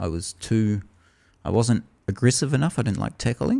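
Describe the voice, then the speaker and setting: In a New Zealand accent, a man speaks at a medium pitch with a dark, mellow tone over a very clean recording with a silent background. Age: 30s. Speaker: podcast host. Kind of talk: casual chat.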